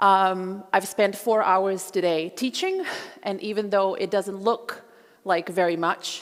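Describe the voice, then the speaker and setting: Her voice has a medium pitch and ordinary pitch variation. The woman speaks at a fairly slow pace. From Croatia, Zagreb. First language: Croatian. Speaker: historian and genocide scholar. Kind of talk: public lecture.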